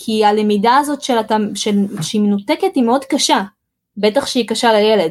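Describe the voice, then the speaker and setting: A woman's fairly high voice with a Russian accent, ordinary pitch variation and very even loudness. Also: moderate pace. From Israel, Russian-speaking immigrant family. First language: Russian (speaking Hebrew). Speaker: home-education graduate and mother. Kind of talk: podcast interview. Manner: halting, frequent repetitions.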